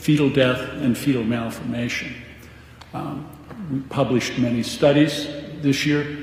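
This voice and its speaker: A fairly high-pitched man with fairly even intonation, amid audible room echo and noticeable background noise. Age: 70s. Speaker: physician. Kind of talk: radio interview.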